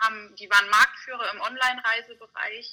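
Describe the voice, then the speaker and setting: A woman's voice is high in pitch, with a bright, sharp tone. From Bavaria, mountains. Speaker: communications graduate. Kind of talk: interview.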